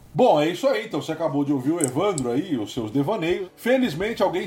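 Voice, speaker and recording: Over noticeable background noise, a man with a high pitch speaks very fast with lively intonation. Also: hardly any pauses. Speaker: podcast host. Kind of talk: casual chat. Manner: animated.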